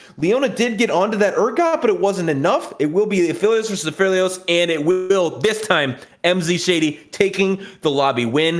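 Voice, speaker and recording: Over noticeable background noise, a man talks with a high pitch and lively intonation. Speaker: esports commentator. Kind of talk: live commentary. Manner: fast.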